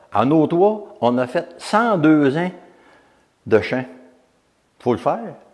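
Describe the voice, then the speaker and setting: At a very slow pace with long, frequent pauses, a man speaks at a fairly high pitch that swings very widely. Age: 70s. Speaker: retired volunteer and former mayor. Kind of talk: testimony. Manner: halting.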